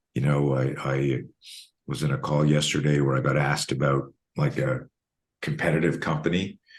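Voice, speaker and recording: A man with a very deep, low voice and vocal fry speaks in a flat monotone at a moderate pace, his loudness very even. He leaves long, frequent pauses. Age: 60s. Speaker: self-defense instructor. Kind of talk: interview. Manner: repetitive stammering restarts.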